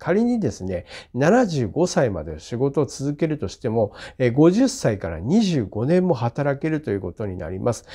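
Against a quiet background, a man with a medium-pitched voice and a dark, mellow tone swings very widely in pitch. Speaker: land and house surveyor giving career advice. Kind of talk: informational monologue to camera. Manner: filler-heavy, hesitant delivery.

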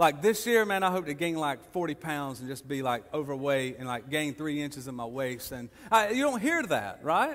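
A man talks at a moderate pace with hardly any pauses. His loudness swings a lot. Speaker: preacher. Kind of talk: sermon. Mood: humorous, encouraging. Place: church.

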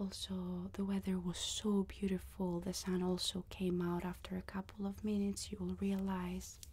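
A woman speaks softly. Her pace is fairly slow. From Greece. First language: Greek. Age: 20s. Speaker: ASMR creator and online Korean teacher. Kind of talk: casual talk to camera, travel vlog. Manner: soft-spoken.

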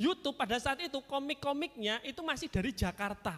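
At a fairly quick pace, a man with an extremely high pitch talks in an animated tone with lively intonation. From Kediri, East Java, Indonesia; East Java, Indonesia. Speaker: stand-up comedian. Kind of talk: stand-up. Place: stage. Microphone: handheld.

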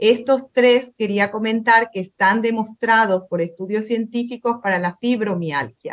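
A woman at a fairly high pitch and fairly slow pace, with hardly any pauses and ordinary pitch variation. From Paraguay. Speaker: physician, panel expert; panelist. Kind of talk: panel discussion. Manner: halting. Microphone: video call.

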